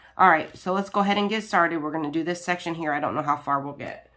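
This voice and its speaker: This woman's pitch is very deep and low, with ordinary variation. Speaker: crafting YouTuber. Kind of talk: casual chat. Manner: hesitant with many fillers.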